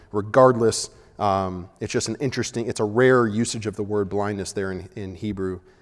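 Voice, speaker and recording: At a moderate pace, a man with an unremarkable speaking voice talks with a fairly low pitch and fairly even intonation. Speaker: Bible class teacher. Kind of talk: Bible class lecture. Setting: church auditorium with class.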